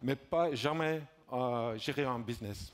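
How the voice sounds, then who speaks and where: A man speaks at a very slow pace. His medium pitch shows ordinary variation. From Belgium. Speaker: conference speaker, entrepreneur. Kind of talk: conference talk. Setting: stage with audience. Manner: halting, many hesitations.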